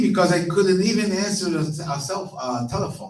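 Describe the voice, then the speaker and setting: A man is speaking. He has a Portuguese accent. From Brazil, Rio de Janeiro. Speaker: minister. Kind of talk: sermon. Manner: halting.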